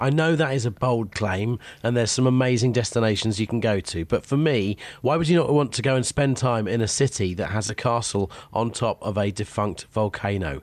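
A man with a British accent talks fairly quickly. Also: medium pitch for a man, ordinary pitch variation, very clean recording, silent background. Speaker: radio host. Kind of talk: casual chat. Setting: home office.

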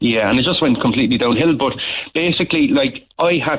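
A man with a Cork accent talks at a very fast pace. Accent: Cork Irish. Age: 30s. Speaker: life coach. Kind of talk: phone-in testimony. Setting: phone call.

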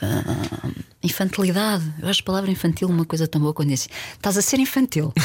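A woman talks at a very fast pace with hardly any pauses. Her voice is somewhat breathy, with lively intonation. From Portugal, Porto. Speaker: film director. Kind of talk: casual chat.

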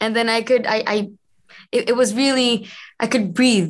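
A woman talks at a moderate pace with an Israeli accent. Her pitch is fairly high. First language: Hebrew. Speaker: actress. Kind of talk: interview. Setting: video call.

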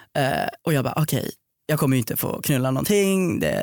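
Over music in the background, a man talks at a fairly quick pace in a fairly high pitch with ordinary pitch variation. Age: 20s. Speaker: podcast guest. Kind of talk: casual chat. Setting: studio.

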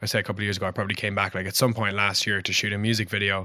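A bright, sharp voice speaks with a Cork accent in a flat monotone. The recording is very clean, with a silent background. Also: man. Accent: Cork Irish. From Ireland, Cork (Passage West). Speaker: singer-songwriter. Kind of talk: casual chat.

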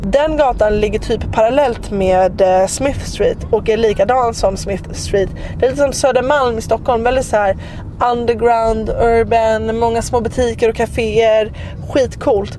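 A woman with a fairly high pitch talks at a fairly slow pace with fairly even intonation and very even loudness. Noticeable background noise is present. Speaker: travel podcast host. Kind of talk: casual travel monologue.

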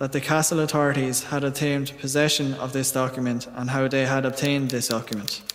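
Music plays in the background as a man with a fairly high pitch speaks in a monotone, flat voice. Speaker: voice actor reading Broy's memoir. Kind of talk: scripted first-person reading of a historical account.

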